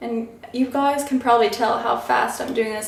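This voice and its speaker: At a moderate pace, a woman with a fairly high pitch talks with fairly even intonation, amid audible room echo and noticeable background noise. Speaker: beauty vlogger. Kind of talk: tutorial. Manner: casual, chatty.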